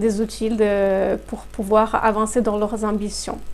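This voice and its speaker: A woman with a Brazilian accent speaks very slowly in a fairly high pitch. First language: Portuguese (speaking French). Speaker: human resources consultant. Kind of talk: interview. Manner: hesitant, many fillers.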